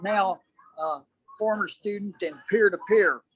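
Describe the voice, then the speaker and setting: A man's high-pitched voice at a moderate pace, dry and close with no echo. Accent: Southern US. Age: 70s. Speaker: ultramarathon runner. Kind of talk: interview.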